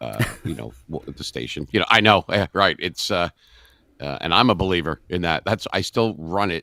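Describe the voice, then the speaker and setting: A man with a very deep, low voice, vocal fry and a bright, sharp tone speaks at a moderate pace with lively intonation. The sound is dry and close with no echo, on a very clean recording with a silent background. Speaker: radio DJ and voice actor. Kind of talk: interview answer.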